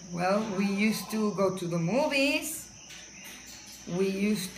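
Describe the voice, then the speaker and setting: A woman speaks at a medium pitch with ordinary pitch variation and a very slow pace. Audible room echo and noticeable background noise fill the recording. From Bronx, New York and Puerto Rico. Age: 60s. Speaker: interviewee. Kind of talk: interview.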